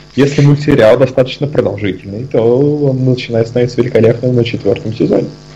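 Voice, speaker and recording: Medium pitch from a man, with fairly even intonation and music in the background. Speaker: podcast co-host. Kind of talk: casual chat. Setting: video call.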